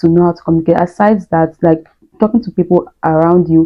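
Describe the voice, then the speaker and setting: A woman's fairly low voice in a Nigerian accent, with ordinary pitch variation. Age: adult, not young. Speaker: YouTuber, student immigrant. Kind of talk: casual vlog monologue.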